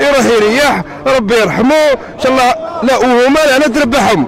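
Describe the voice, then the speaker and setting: Amid crowd noise and audible room echo, a man speaks at a fairly slow pace with an extremely high pitch and ordinary pitch variation. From Algeria. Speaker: protester. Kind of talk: street interview.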